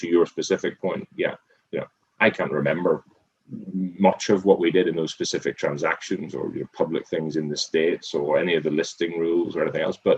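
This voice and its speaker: Delivered at a fairly quick pace, the voice sounds dry and close, without any echo. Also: man. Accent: Irish. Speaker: restaurant group CEO and former accountant. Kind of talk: interview. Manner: repetitive, halting with many false starts.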